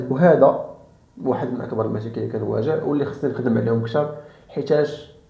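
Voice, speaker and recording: A man with a fairly high pitch talks at a fairly quick pace and with ordinary pitch variation over noticeable background noise. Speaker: self-improvement YouTuber. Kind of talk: casual talk to camera.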